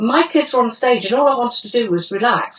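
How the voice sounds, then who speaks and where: Speaking fairly quickly with a British accent, a woman uses a fairly high pitch and ordinary pitch variation. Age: 70s. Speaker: testimonial giver. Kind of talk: testimony.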